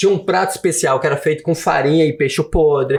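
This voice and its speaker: A man talks with a fairly high pitch. His pitch moves in an ordinary way. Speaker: author and former immigrant worker. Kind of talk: podcast interview. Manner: animated.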